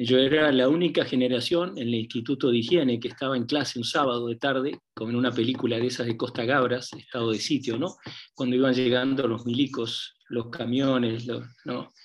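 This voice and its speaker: In a normal speaking voice, a man talks at a fairly quick pace with medium pitch and fairly even intonation. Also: hardly any pauses. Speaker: semiotics professor. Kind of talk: seminar talk.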